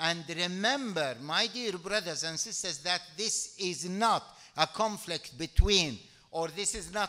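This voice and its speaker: The background is quiet as a man talks. His pitch varies in an ordinary way. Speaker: speaker. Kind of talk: speech. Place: hall. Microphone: podium.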